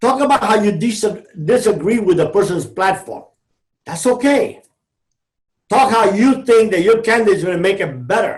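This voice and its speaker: With a Cuban-American accent and a high pitch, a man speaks at a moderate pace, taking long, frequent pauses. His pitch variation is ordinary. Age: 60s. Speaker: former drug trafficker turned motivational speaker. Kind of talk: podcast interview. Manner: animated.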